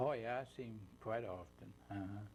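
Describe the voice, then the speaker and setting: Speaking in an Appalachian accent, a man has a fairly low pitch. Audible room echo can be heard. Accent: Appalachian American. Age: 80s+. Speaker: war veteran. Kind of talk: oral history interview. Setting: studio. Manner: halting.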